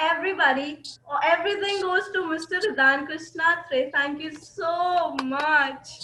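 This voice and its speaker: Extremely high in pitch and raised to project, a woman's voice moves fairly slowly with fairly even intonation over noticeable background noise. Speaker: accent training student. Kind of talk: online class discussion.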